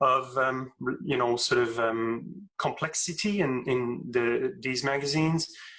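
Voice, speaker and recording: A man speaks in a French accent. His pitch is medium. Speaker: astrophysics professor. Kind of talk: interview Q&A. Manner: halting, many fillers and repeats.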